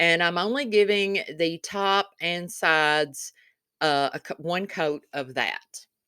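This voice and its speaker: A woman in a Kentucky accent at a medium pitch and a very slow pace, with a bright, sharp tone and ordinary pitch variation, in a dry, close sound with no echo on a very clean recording with a silent background. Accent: Southern US accent (Kentucky). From Kentucky, US South. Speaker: DIY crafts video creator. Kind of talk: craft tutorial voiceover. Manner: chatty, casual.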